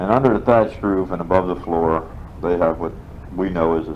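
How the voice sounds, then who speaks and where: A man with an American accent and a very deep, low pitch, moderate in pace with ordinary pitch variation, over noticeable background noise. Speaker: war veteran. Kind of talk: interview answer. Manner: casual, rambling.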